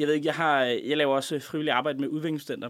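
The man here has a fairly high-pitched voice. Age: 20s. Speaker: radio show guest, former contributor. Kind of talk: casual chat. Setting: studio.

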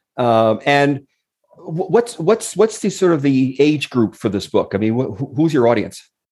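Speaking at a fairly slow pace, a man lets his pitch swing very widely. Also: fairly high pitch for a man. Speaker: podcast co-host. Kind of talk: interview.

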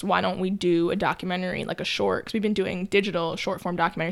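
Talking at a very fast pace, a woman with an American accent keeps a medium pitch and fairly even intonation. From New York. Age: 20s. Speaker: documentary producer. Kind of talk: casual chat.

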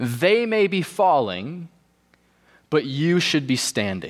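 Fairly high male voice with very wide pitch swings. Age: 20s. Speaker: pastor. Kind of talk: sermon. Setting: church.

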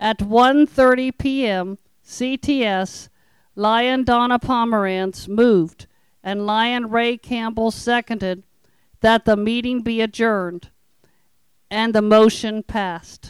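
On a very clean recording with a silent background, a woman with an American accent speaks at a very slow pace. Her fairly high pitch follows fairly even intonation, and the sound is dry and close with no echo. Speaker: club secretary. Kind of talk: reading aloud meeting minutes.

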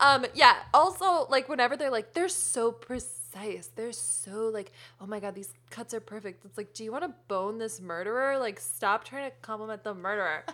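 A woman's bright, sharp, fairly high voice at a moderate pace, with lively intonation and big swings in loudness. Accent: American. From US New England, Connecticut. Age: 20s. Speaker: comedian. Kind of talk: casual chat.

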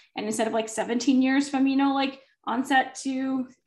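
Talking at a fairly quick pace, a woman has a high pitch. She speaks with a slight Minnesotan accent. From northern Minnesota. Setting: working from home, dogs nearby.

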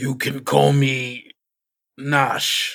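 Speaking at a medium pitch, the man puts on a character voice. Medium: actual play. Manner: hesitant, unsettled.

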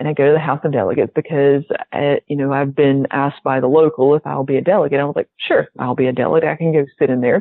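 A woman with a slight Southern US accent and a very deep, low pitch talks at a very fast pace, with hardly any pauses and fairly even intonation. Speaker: pharmacist.

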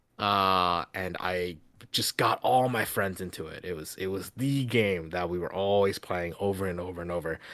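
On a very clean recording with a silent background, a man with a very deep, low pitch and a bright, sharp tone talks at a moderate pace with ordinary pitch variation. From China, then Louisiana from about fourth grade. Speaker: board game designer. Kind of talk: casual interview chat.

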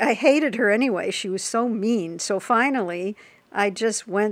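Using an unremarkable speaking voice, a woman with an American accent talks fairly slowly with lively intonation and a fairly high pitch. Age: 60s. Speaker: person with type one diabetes. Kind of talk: interview, personal storytelling.

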